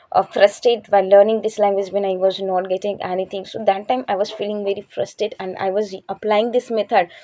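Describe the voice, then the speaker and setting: Over noticeable background noise, a woman at medium pitch talks at a very fast pace with hardly any pauses and monotone, flat intonation. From India, Chhattisgarh. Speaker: English learning YouTuber. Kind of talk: casual vlog talk to camera. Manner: hesitant, many fillers.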